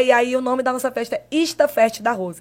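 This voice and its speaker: Her intonation holds fairly even. The woman's voice sits high in pitch. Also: very clean recording, silent background. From Marabá, Pará, northern Brazil. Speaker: digital influencer. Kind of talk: casual interview.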